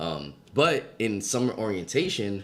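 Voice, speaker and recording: A man speaks in a New York accent. His pitch is fairly low. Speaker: podcast co-host. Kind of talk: casual chat.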